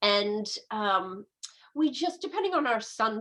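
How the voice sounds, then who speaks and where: Speaking at a fairly slow pace, a woman with a medium pitch makes very wide pitch swings. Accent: American. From US West Coast, San Francisco. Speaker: medical astrologer and naturopath. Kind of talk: interview conversation.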